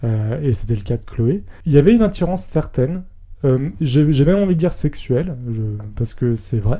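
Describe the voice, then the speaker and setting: The voice is somewhat breathy, with a dark, mellow tone. It moves at a moderate pace with very wide pitch swings. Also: man, fairly high pitch for a man. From France, Rhône-Alpes (near Villefranche, Lyon area). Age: 20s. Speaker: podcast guest, entertainment company employee. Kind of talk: personal testimony interview. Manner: hesitant, many fillers.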